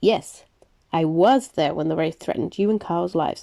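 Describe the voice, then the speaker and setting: Putting on a character voice, a woman growls at a fairly low pitch and a moderate pace. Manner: growling, dangerous.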